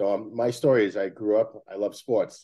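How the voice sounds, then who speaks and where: A man's fairly low voice in a Brooklyn accent, with ordinary pitch variation. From Brooklyn, New York. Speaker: sports facility company executive. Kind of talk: interview.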